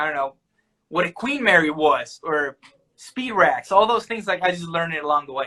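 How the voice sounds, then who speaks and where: Lively intonation at a moderate pace. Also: man, high pitch for a man. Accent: American. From Argentina (Salta, northern). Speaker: chocolatier. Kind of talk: casual chat. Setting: video call.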